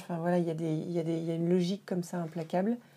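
Monotone and flat, a woman speaks at a fairly low pitch in a dark, mellow tone. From France, Dijon and Paris. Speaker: winemaker. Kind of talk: interview. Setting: wine shop.

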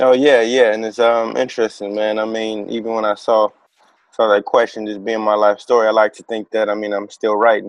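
A man with an American accent talks at a fairly quick pace in a fairly low pitch, his intonation monotone and flat but his loudness swinging widely. The sound is dry and close with no echo. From Chicago, south side. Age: 20s. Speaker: basketball performance coach. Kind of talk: interview.

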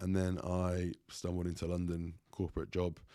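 A man's very deep, low voice with a dark, mellow tone is heard on a very clean recording with a silent background. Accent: English. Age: 30s. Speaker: bodybuilder and online coach. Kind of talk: casual chat. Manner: halting.

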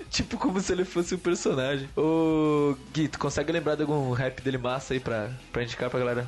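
A man with a plain, everyday voice talks at a fairly quick pace with hardly any pauses. His pitch is fairly high with ordinary variation, and his loudness stays very even. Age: 20s. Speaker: podcast host. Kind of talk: casual chat.

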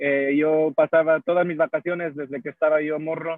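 A man's fairly high voice stays in a monotone, flat intonation. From Houston, Texas, of Mexican family. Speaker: podcast guest. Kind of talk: casual chat. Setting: in a coffee shop.

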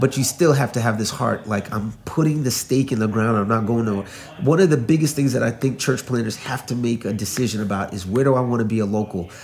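A man with a New York accent talks at a very fast pace with hardly any pauses, in a medium pitch with ordinary pitch variation. Background noise is noticeable. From New York, the Bronx. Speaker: pastor. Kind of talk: casual interview chat.

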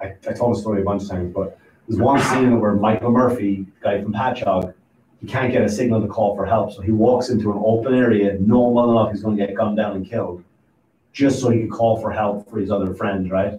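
This man's voice is fairly low, dark and mellow, and somewhat breathy. He talks at a very fast pace in a monotone, flat intonation. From Ireland. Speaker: stand-up comedian and podcaster. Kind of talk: casual chat. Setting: studio.

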